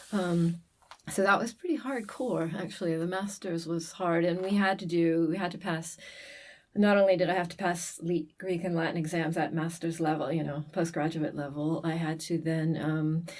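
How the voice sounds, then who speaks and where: A normal speaking voice with an American accent, at a moderate pace and with fairly even intonation. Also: woman, fairly low pitch for a woman. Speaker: classics lecturer. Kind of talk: casual interview chat.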